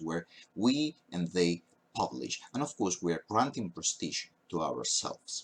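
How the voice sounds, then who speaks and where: A man with a Spanish accent at a moderate pace, his pitch swinging very widely. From Spain. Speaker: university professor. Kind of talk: lecture. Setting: recorded at a webcam. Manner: hesitant, frequent fillers.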